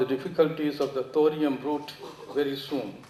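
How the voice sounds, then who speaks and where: Over noticeable background noise and audible room echo, a man speaks in a fairly high voice. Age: 80s+. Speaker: audience member asking questions. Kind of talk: Q&A after a lecture. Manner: formal.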